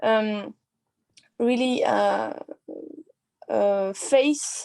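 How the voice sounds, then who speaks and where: With a non-native accent and a dark, mellow tone, a woman shows ordinary pitch variation in a very clean recording whose silent background gives a dry, close sound with no echo. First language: not English. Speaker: university student. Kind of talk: class discussion. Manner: halting, many fillers.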